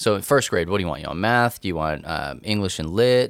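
On a very clean recording with a silent background, a man with a West Texas accent speaks with lively intonation. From West Texas / eastern New Mexico. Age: 30s. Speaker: podcast host, nerd culture missionary. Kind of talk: casual chat.

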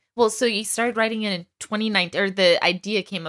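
A woman with an American accent talks at a fairly quick pace in a normal speaking voice, with ordinary pitch variation. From Texas, US. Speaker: podcast host. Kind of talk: interview. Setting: video call.

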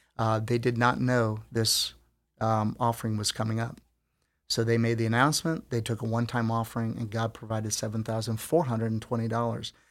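This man talks at a fairly quick pace in a medium pitch, with a monotone, flat intonation. The recording is very clean, and the background is silent. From Philippines. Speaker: campus security director, former police officer. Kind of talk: interview.

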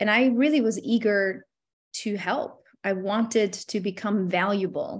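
Against a quiet background, a woman talks at a medium pitch with fairly even intonation. Her voice is somewhat breathy and her pace fairly slow. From Albania. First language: Albanian. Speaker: legal funding entrepreneur. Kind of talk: interview.

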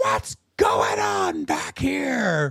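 In a put-on character voice, someone shouts with a low, raspy sound. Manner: shouting, screaming.

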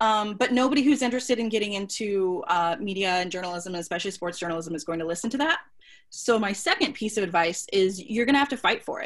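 Here is a normal speaking voice with an American accent. It moves at a fairly quick pace with lively intonation. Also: woman. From Kansas City, US Midwest. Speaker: sports journalist. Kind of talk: interview.

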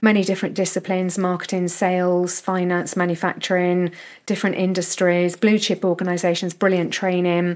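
A woman with a British accent speaks at a fairly quick pace, her intonation flat and monotone. The loudness stays very even, and the recording is very clean with a silent background. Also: medium pitch for a woman. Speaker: nutrition researcher. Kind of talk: casual chat.

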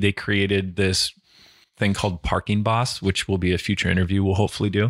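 In a very clean recording with a silent background and a dry, close sound with no echo, a man with an unremarkable speaking voice talks at a fairly quick pace and fairly low pitch. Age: 40s. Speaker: software agency founder and podcast host. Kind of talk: casual chat. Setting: backyard home office.

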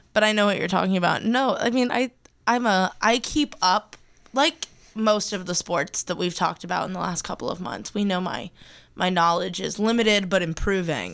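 In a very clean recording with a silent background, a woman with an unremarkable speaking voice talks at a moderate pace, her pitch medium and its variation ordinary. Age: 20s. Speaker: student podcast co-host. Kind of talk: casual chat.

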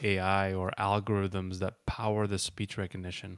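With a plain, everyday voice, a man speaks at a moderate pace and fairly low pitch in a very clean recording with a silent background. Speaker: podcast host. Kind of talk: interview, casual.

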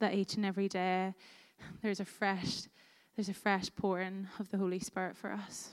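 Speaking with a Northern Irish accent in a monotone, flat intonation, the voice comes through on a very clean recording with a silent background. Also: woman, medium pitch for a woman, moderate pace. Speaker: worship leader. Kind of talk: guided prayer. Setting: church.

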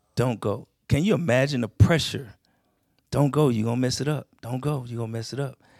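With an American accent, a man speaks at a fairly quick pace in an unremarkable speaking voice, medium in pitch with ordinary pitch variation, the sound dry and close with no echo. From Texas, Houston. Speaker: military veteran, church member. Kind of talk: on-stage interview in church. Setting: church stage with audience.

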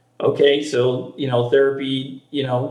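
Speaking in an American accent, a man keeps a monotone, flat intonation. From Maine, US. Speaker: startup founder in senior care technology. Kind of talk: interview. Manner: halting, many fillers.

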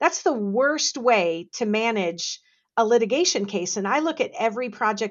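With an ordinary speaking voice, a woman delivers her words at a moderate tempo. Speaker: legal industry consultant. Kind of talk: podcast interview.

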